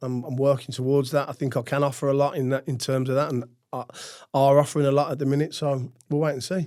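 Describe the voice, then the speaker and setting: A man with a slight Brummie accent speaks fairly quickly at a fairly high pitch. His tone is dark and mellow, and his intonation is monotone and flat. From Birmingham, England. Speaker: retired footballer and businessman. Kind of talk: interview. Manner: halting, many fillers.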